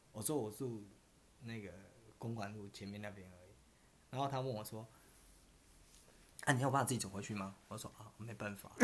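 Long pauses come often, while the talking itself holds a moderate pace. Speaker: podcast co-host. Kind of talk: casual chat.

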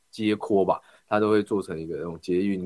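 A man's very deep, low pitch at a fairly quick pace, fairly even intonation, and a dry, close sound with no echo. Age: 20s. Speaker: local council candidate. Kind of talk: interview.

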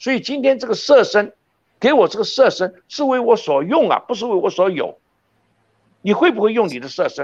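With lively intonation and big swings in loudness, a man talks at a moderate pace in an extremely high pitch. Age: 70s. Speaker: professor. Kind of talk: interview. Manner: fluent, unscripted.

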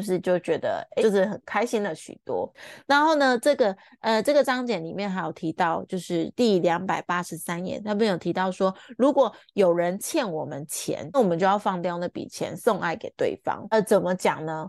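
In a plain, everyday voice at medium pitch, a woman speaks at a moderate pace with lively intonation, the sound dry and close with no echo against a quiet background. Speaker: podcast host, book club reader. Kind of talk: book discussion monologue. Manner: warm, chatty.

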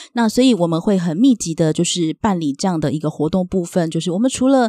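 Here is a woman with an ordinary speaking voice, medium in pitch, with lively intonation and a fairly quick pace. The sound is dry and close with no echo, in a very clean recording with a silent background. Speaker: social worker. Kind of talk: interview.

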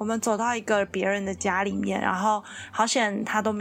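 Speaking at a fairly quick pace, a woman uses an unremarkable speaking voice at a medium pitch. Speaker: podcast co-host. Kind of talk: casual chat.

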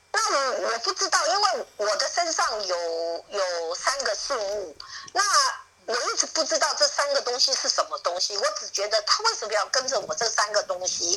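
Noticeable noise sits in the background. The talking goes at a moderate pace. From Taiwan, Miaoli. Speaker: interviewee claiming secret-society heir. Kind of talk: phone interview. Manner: halting, repetitive.

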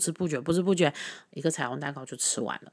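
A woman talks at a very fast pace in a very deep, low voice, on a very clean recording with a silent background. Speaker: podcast host. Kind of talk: casual monologue.

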